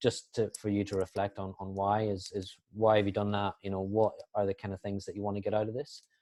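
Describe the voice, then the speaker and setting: A man with a Northern Irish accent speaks at a fairly low pitch. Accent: Northern Irish, dense. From Northern Ireland. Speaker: sports performance analyst, guest lecturer. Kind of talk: online guest lecture. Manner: fast; hesitant, many fillers.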